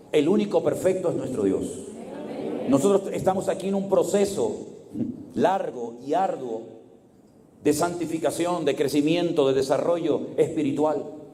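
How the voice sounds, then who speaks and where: There is audible room echo as a man with a high voice speaks at a fairly slow pace. He uses lively intonation and long, frequent pauses. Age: 60s. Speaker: pastor. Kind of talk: sermon.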